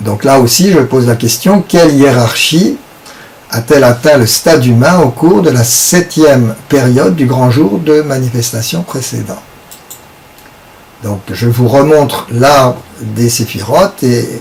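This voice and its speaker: The speech moves at a very slow pace. Background noise is noticeable. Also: man, medium pitch for a man, ordinary pitch variation. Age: 70s. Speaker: esoteric teacher. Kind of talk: lecture. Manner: halting.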